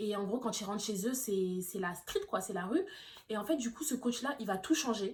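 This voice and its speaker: A woman's fairly high, somewhat breathy voice moves at a moderate pace, its pitch varying in an ordinary way. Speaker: YouTuber reviewing films. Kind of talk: casual vlog monologue. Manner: hesitant, many fillers.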